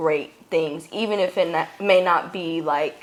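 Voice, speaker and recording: Speaking at a fairly slow pace, a woman's fairly low-pitched voice comes out shaky. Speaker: podcast co-host. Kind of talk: casual chat. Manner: shaky voice.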